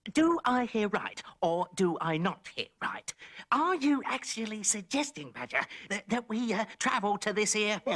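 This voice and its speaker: In a cartoonish character voice, a female-sounding speaker talks at a moderate pace and a fairly high pitch for a woman. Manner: indignant, complaining.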